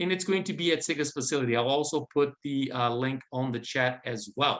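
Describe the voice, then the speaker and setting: Speaking at a moderate pace with a non-native accent, a man has a bright, sharp tone. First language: not English. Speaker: event host, building organization manager. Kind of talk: event hosting announcements. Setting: video call. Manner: halting.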